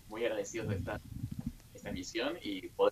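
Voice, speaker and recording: With fairly even intonation, a man speaks at a fairly slow pace. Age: young. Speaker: French teacher. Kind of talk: interview. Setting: teleconference.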